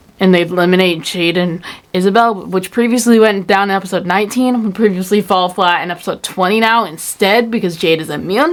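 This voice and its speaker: A woman mumbles at a fairly quick pace, her medium-pitched voice showing ordinary pitch variation. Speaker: fan commentary youtuber. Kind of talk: casual video commentary. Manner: mumbling; halting, many fillers.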